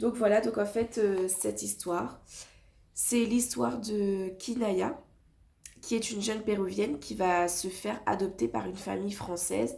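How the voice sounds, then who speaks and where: With lively intonation and a dark, mellow tone, a woman speaks at medium pitch with vocal fry. Audible room echo surrounds her voice. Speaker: book vlogger. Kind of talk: casual vlog. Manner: halting.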